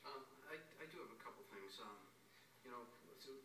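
Male speech amid noticeable background noise, the room echo clearly audible. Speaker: council member. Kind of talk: meeting remarks. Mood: warm, appreciative. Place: meeting room. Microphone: podium.

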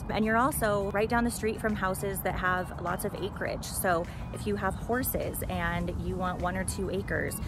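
Over clear background music, a woman speaks at a moderate pace in a dry recording with no echo. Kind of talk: casual vlog chat. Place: open country.

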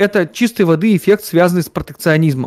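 Over a quiet background, a man talks with a high pitch and ordinary pitch variation. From Siberia, Russia (Omsk); Siberia, Russia. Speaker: economist and football fan; guest. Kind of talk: casual chat. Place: office.

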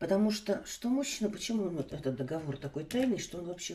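The speaker is a woman with a medium pitch. Her voice has a dark, mellow tone. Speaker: tarot reader. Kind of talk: online tarot reading. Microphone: phone near.

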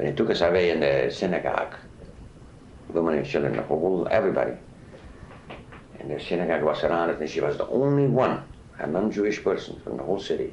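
Audible room echo and noticeable noise sit behind the speaker. He is a man talking very fast. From Czechoslovakia. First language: not English. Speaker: Holocaust survivor. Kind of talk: oral history interview. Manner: halting.

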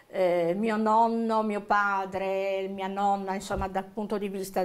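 A woman's very slow, monotone delivery with flat intonation. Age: 60s. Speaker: witness, victim's relative; interviewee, witness. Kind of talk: interview testimony. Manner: halting, many fillers. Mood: reflective, recalling family tragedy. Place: studio.

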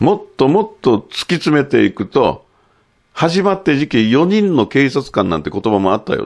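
Fairly high-pitched male voice with vocal fry and very wide pitch swings, at a moderate pace against a quiet background. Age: 60s. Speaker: photographer and commentator; commentator. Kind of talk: monologue commentary. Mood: critical, animated. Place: studio.

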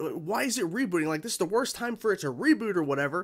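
Against a quiet background, a man speaks at a fairly quick pace. His pitch swings very widely. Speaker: reaction channel host. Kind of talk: casual vlog chat. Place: home room.

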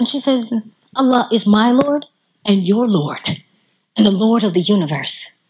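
Over a quiet background, a woman with a Southern US accent and a fairly high, somewhat breathy voice speaks at a moderate pace with long, frequent pauses, her tone animated and her intonation lively. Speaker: Islamic lecturer. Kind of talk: religious lecture. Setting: stage with audience. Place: hall. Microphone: handheld.

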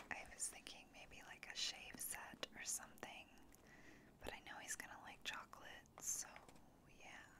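Whispering at a fairly slow pace, a woman leaves long, frequent pauses while her loudness swings widely. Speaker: ASMR creator. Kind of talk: ASMR show and tell, casual talk to camera. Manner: whispered, soft-spoken. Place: home room. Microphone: studio mic.

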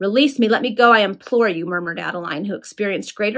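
Plain reading aloud, the pitch varying in an ordinary way

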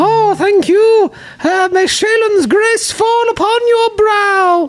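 The speaker uses a put-on character voice at an extremely high pitch. The pace is very slow. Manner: folksy, cheerful, scheming.

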